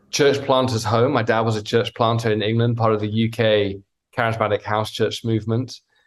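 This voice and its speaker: A man in a British accent, medium in pitch, at a moderate pace. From Wales. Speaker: pastor. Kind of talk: interview. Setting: video call.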